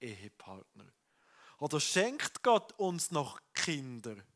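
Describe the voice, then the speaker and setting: A man's warm tone at a very slow pace, with very wide pitch swings, against a quiet background. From Switzerland. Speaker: pastor. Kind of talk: sermon. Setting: church with congregation. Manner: conversational, warm, earnest. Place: church. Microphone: headset.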